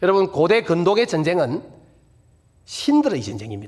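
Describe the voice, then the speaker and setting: A man talks in a Busan accent. His pace is moderate. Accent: Gyeongsang (Busan) dialect, self-described. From Busan, South Korea. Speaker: guest pastor at revival meeting. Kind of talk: sermon.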